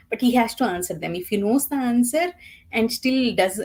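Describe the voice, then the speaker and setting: Lively intonation and a dark, mellow tone mark this speech with a Telugu accent. The pace is moderate. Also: woman. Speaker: book reviewer. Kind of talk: casual chat.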